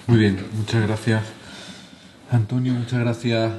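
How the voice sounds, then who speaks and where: Over noticeable background noise, a man talks at a medium pitch with monotone, flat intonation. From southern Spain. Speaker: charity director, lecturer. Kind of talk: lecture.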